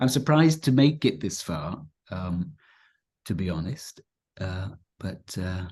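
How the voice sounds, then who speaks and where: Somewhat breathy and very deep, a man's low voice moves slowly with very wide pitch swings and long, frequent pauses over a quiet background. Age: 50s. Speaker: spiritual teacher. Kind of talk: casual chat. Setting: live video stream. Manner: halting.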